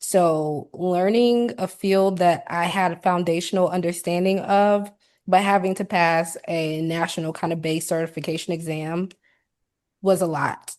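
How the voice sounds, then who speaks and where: An ordinary speaking voice comes from a woman with an American accent and a fairly low pitch. She talks at a fairly slow pace with fairly even intonation. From South Carolina. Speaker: occupational therapy assistant, ergonomist. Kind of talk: interview answer.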